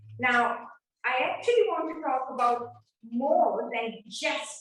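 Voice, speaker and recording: A woman talks at a very slow pace in a high voice with ordinary pitch variation. Room echo is audible. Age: 70s. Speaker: seminar speaker and author. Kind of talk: lecture.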